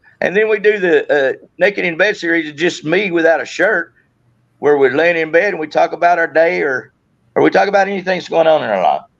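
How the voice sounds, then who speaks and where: A man's high-pitched voice at a fairly quick pace. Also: ordinary pitch variation. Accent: Southern US. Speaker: YouTuber and Marine veteran. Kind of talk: casual chat. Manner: halting, repeats words.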